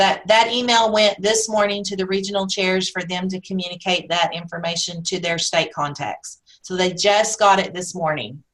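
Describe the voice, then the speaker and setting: With hardly any pauses, a woman with an ordinary speaking voice talks at a moderate pace and medium pitch, her intonation fairly even. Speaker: national member recognition chair presenting a webinar. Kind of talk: webinar presentation with Q&A. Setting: webinar.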